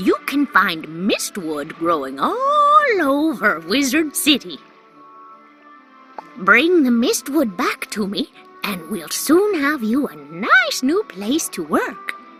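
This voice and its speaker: Over clear music in the background, a put-on character voice speaks at a very slow pace in a high pitch. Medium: solo performance. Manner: warm, teacherly.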